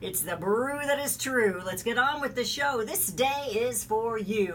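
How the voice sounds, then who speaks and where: A woman's fairly slow, upbeat speech with lively intonation over noticeable background noise. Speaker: talk radio host. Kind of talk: talk radio opening monologue. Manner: upbeat, rhythmic, rhyming show intro.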